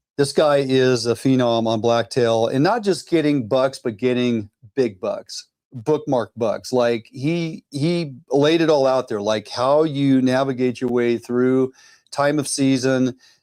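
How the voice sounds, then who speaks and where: This man has an ordinary speaking voice, with ordinary pitch variation and a fairly slow pace. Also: medium pitch for a man. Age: 60s. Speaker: outdoor show host. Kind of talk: casual chat. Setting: studio.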